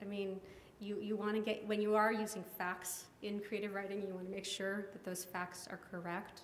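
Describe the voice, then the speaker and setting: A woman speaks at a medium pitch in a flat monotone. Noticeable background noise and audible room echo fill the recording. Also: moderate pace. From grew up abroad and in the US, diplomat family. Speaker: poet and professor. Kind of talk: audience Q&A. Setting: lounge with live audience. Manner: halting, many fillers.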